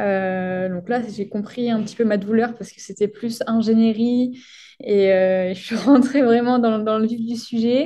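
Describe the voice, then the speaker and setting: Her voice sits fairly high yet carries a dark, mellow tone. The woman's intonation stays fairly even. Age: 20s. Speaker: sports science PhD student. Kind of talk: podcast interview.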